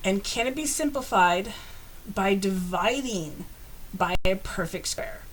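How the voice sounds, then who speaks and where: With a plain, everyday voice, a woman talks at a fairly slow pace in a medium pitch, her intonation lively. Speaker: math teacher. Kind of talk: tutorial.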